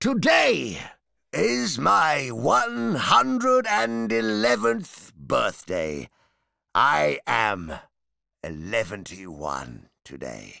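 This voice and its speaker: A man's put-on character voice at a medium pitch, delivered at a very slow pace. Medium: read story. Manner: hesitant, stammering, chatty.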